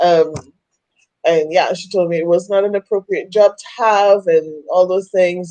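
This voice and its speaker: In a Trinidadian accent, a woman talks at a moderate pace with a dark, mellow tone. The sound is dry and close, without echo. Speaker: women's coach. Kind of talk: interview testimony. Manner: halting.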